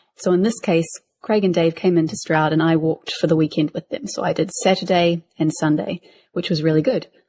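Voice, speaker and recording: A woman with a New Zealand accent speaks at a fairly quick pace in a fairly low, dark, mellow voice with ordinary pitch variation. The sound is dry and close with no echo. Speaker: podcast co-host. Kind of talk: casual chat.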